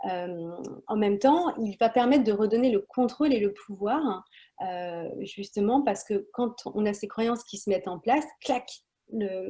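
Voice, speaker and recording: A woman's fairly high, somewhat breathy voice with a dark, mellow tone, ordinary pitch variation and a fairly slow pace. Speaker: wellness practitioner. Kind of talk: guided breathing instruction. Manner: hesitant, many fillers.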